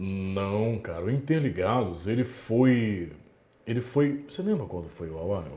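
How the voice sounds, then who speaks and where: With a dark, mellow tone and a somewhat breathy quality, a man of medium pitch speaks at a fairly slow pace using lively intonation. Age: young. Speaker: radio announcer. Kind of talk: podcast interview answer.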